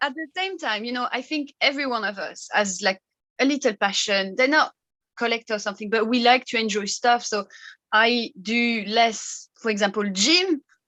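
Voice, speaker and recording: With a bright, sharp tone, a woman talks at a moderate pace and with lively intonation. The background is quiet. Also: fairly high pitch for a woman. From France, Brittany. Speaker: fragrance content creator. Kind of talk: casual interview chat.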